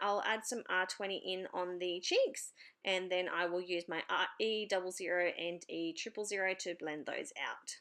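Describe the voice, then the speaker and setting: In an Australian accent, the voice has a bright, sharp tone, ordinary pitch variation and a moderate pace, with hardly any pauses. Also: woman. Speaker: papercraft YouTuber. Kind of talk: tutorial voiceover. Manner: hesitant, many fillers.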